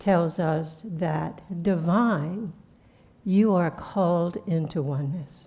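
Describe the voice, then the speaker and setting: A woman speaks at a very slow pace with fairly low pitch and ordinary pitch variation. Her tone is dark and mellow, and somewhat breathy. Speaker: spiritual teacher. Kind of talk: sermon. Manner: soft-spoken; halting.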